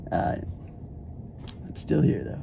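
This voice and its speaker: A man speaks with an American accent over light background noise. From Arizona, USA. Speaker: spoken word poet. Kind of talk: casual talk to camera. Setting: in a car. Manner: upbeat, friendly. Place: car. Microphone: phone near.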